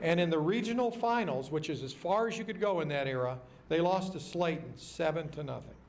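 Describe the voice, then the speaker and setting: Audible room echo surrounds a man with an American accent who speaks at a moderate pace in a high voice. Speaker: banquet speaker and local football historian. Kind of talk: banquet speech. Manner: animated.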